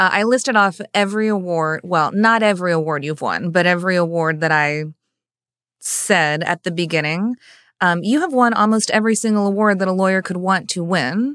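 A woman's unremarkable speaking voice at medium pitch, with ordinary pitch variation and a fairly quick pace, in a very clean, silent recording with a dry, close sound and no echo. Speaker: podcast host, lawyer, bar association president. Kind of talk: interview conversation.

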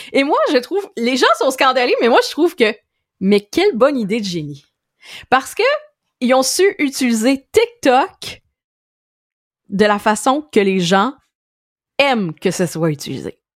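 Long, frequent pauses break up fairly slow speech with very wide pitch swings. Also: woman, high pitch for a woman. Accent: Quebec. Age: 30s. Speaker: digital marketing expert. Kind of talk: casual chat.

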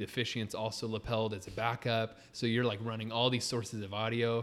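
With a Californian accent, a man speaks at a medium pitch and a fairly quick pace. His intonation stays monotone and flat. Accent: Californian American. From Southern California (Riverside). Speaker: wedding videographer. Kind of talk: casual chat. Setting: in the guest's studio.

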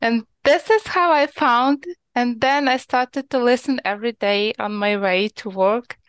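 A woman with a Ukrainian accent speaks at a fairly slow pace in a high pitch with ordinary pitch variation. The sound is dry and close, with no echo. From Ukraine, small village. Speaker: podcast listener calling in. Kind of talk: call-in interview. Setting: remote call. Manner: halting, many hesitations.

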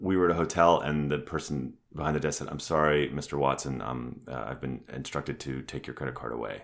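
With vocal fry and a very deep, low pitch, a man talks at a moderate pace with ordinary pitch variation. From Canada. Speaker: actor and company CEO. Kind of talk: casual interview chat.

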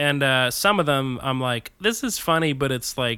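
A man with an American accent speaks at medium pitch in a bright, sharp tone on a very clean recording with a silent background. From New Jersey. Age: 30s. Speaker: stand-up comedian. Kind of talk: casual chat.

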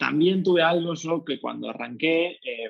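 Speech unfolds at a moderate pace. Dry, close sound, no echo at all. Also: man. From Argentina. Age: 20s. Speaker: figure skater and musical theatre dancer. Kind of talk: interview. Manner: hesitant, many fillers.

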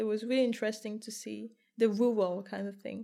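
In a slight French accent, a woman speaks at a fairly quick pace with a fairly high pitch, fairly even intonation and a dark, mellow tone. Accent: light French. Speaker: podcast host. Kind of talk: casual interview.

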